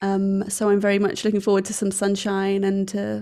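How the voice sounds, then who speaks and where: With an English accent, a woman speaks at a moderate pace and a medium pitch in a dark, mellow tone, captured in a very clean recording with a silent background. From England. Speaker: wedding photographer. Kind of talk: casual chat.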